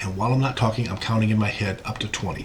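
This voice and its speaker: Noticeable background noise and audible room echo surround a man's speech. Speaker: physician lecturer. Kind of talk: lecture. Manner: fast.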